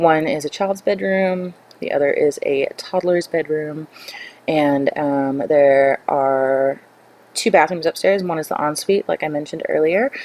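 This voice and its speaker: Against noticeable background noise, a woman speaks at a fairly slow pace in a very deep, low pitch with ordinary pitch variation. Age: 20s. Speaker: gaming YouTuber. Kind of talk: gameplay voiceover. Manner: hesitant, many fillers.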